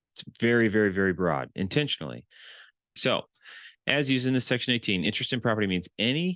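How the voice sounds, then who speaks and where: Vocal fry marks a man's medium-pitched voice. He talks at a fairly quick pace with very wide pitch swings. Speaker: real estate transaction consultant. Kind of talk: tutorial.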